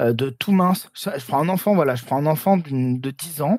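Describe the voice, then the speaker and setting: Lively intonation marks this man's speech. He sounds somewhat breathy and moves at a fairly slow pace. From southern France. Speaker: video game director. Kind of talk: interview. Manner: halting.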